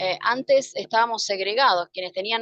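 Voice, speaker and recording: This woman talks at a fairly quick pace. Her pitch varies in an ordinary way. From Argentina, Mendoza. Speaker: spiritual teacher. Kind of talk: interview. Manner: fast.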